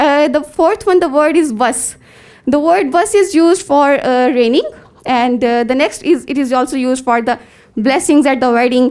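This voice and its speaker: A high-pitched woman's voice in a Pakistani accent, with ordinary pitch variation and very even loudness. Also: moderate pace. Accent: Pakistani English (Punjabi). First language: Punjabi. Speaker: conference presenter, researcher. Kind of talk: academic paper presentation. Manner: halting, many fillers.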